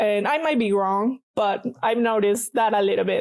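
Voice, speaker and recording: In a Mexican accent, a woman speaks with a fairly high pitch and a dark, mellow tone, the sound dry and close with no echo. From Mexico, Guadalajara. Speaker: paper artist. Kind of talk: casual interview chat.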